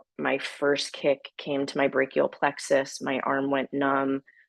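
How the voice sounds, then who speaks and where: In a dry, close sound with no echo, a woman speaks with a very deep, low pitch and vocal fry at a fairly slow pace. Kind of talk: webinar presentation. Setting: video call webinar.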